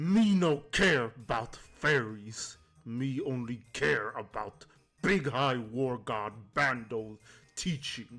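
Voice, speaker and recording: Speaking at a very slow pace, a man puts on a character voice. His pitch is medium. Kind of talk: broken, simple speech. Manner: gruff, devout.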